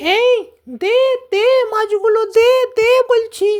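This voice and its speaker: A cartoonish character voice, squeaky and extremely high in pitch. It moves at a very slow pace. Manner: greedy, bullying.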